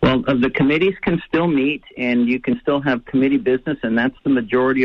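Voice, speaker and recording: This man talks at a very fast pace. His voice is fairly high-pitched. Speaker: congressman. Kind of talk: radio interview.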